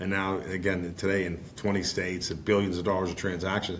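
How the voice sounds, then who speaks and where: There is audible room echo as a man with an American accent speaks in a fairly low pitch. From Pittsburgh, Pennsylvania. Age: 60s. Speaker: financial advisor and firm founder. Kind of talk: podcast interview. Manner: halting, many repetitions; folksy.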